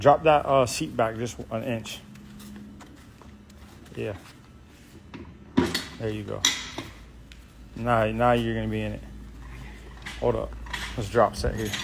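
Noticeable background noise accompanies a man speaking at a fairly slow pace with long, frequent pauses. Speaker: trainer coaching a workout. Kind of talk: workout coaching and rep counting. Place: gym. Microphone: phone near.

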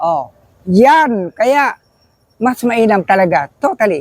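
A man speaks at a high pitch with very wide swings in it. His pace is very slow, and the sound is dry and close with no echo. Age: 70s. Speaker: motorcycle rider, interviewee. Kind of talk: street interview.

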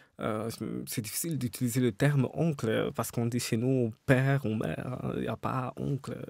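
This is a man speaking at a medium pitch. The sound is dry with no echo, and the background is quiet. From Cameroon, Douala; Cameroon. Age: 30s. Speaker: novelist; interviewee. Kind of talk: interview. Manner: hesitant, many fillers. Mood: calm, reflective. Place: studio. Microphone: studio mic.

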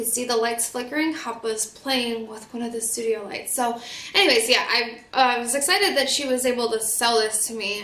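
With an American accent, a woman speaks at a moderate pace in a fairly high, fairly bright voice with ordinary pitch variation and audible room echo.

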